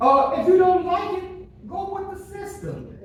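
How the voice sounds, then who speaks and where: Noticeable background noise surrounds speech with an animated tone. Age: 60s. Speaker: resident speaking at public comment. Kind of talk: public comment at town meeting. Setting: public meeting in city hall.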